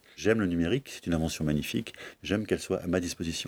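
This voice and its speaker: A man with a very deep, low voice talks fairly quickly with fairly even intonation, the sound dry and close with no echo on a very clean recording with a silent background. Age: 40s. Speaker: bookseller. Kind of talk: interview. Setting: bookshop stockroom.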